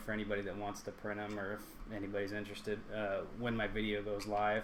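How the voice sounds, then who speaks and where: There is audible room echo around a man's voice. His pitch is fairly low and his pace fairly quick. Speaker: YouTuber and 3D print maker. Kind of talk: live stream tutorial. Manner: halting, many fillers; casual.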